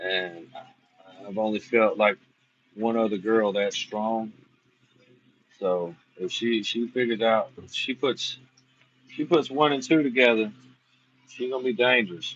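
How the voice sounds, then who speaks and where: A man with an American accent at a medium pitch, a fairly slow pace with long, frequent pauses, ordinary pitch variation and big swings in loudness. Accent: self-described redneck. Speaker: armwrestler reviewing matches. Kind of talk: casual livestream commentary.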